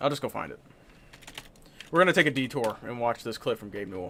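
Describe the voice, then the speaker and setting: A man with a medium-pitched voice talks at a very fast pace, leaving long, frequent pauses. His tone is animated, with lively intonation and big swings in loudness. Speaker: gaming streamer. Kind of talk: live stream commentary. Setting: live stream.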